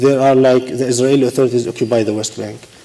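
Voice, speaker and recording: This man speaks in a flat monotone with an Arabic accent at a medium pitch. Noticeable background noise runs under his voice. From Palestine. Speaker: election administrator. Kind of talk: panel discussion. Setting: stage with audience.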